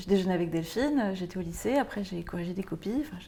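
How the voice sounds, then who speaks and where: The tone is dark and mellow, and somewhat breathy. Its intonation is lively. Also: woman. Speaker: actress. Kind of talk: film and TV drama scenes. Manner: hesitant, flustered.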